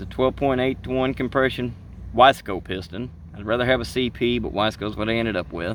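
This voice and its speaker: A man talks with a strong Southern US accent. His pace is very fast. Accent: heavy Southern US. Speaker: ATV racer. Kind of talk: casual talk to camera. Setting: outdoors, earbud microphone.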